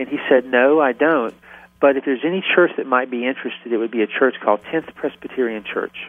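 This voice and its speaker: A man in a Southern US accent at a very fast pace, medium pitch with ordinary pitch variation. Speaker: ministry founder. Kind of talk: radio interview.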